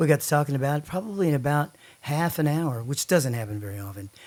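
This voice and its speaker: A man with a Texan accent talks at a very fast pace in a fairly high pitch. The recording is very clean, with a silent background. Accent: Texan Southern US. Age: 60s. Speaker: songwriter. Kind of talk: casual chat.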